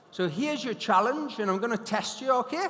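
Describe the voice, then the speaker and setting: Noticeable background noise sits behind a man with a Geordie accent. He sounds animated, with lively intonation and a moderate pace. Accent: Geordie (Newcastle). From northern England, Newcastle. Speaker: hypnotist and motivational speaker. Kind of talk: conference keynote talk. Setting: stage with audience.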